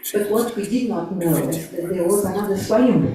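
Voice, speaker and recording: A woman is speaking with audible room echo. Noticeable background noise is also present. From Portugal. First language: Portuguese. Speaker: early member sharing memories. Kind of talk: testimony. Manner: halting. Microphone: poor sound at start.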